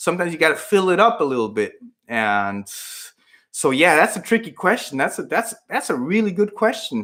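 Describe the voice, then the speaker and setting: This man has a Spanish accent and speaks at a high pitch and a fairly quick pace, his bright, sharp tone making very wide pitch swings in a very clean recording with a silent background. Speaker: fitness YouTuber. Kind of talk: live Q&A stream. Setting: livestream at home computer. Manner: casual, hesitant with fillers.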